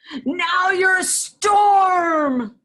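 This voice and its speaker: The speaker is a woman putting on a character voice. She pitches it extremely high. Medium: read story. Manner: warm, encouraging.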